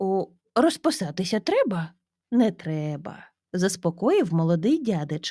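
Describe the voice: The recording offers plain reading aloud with a quiet background.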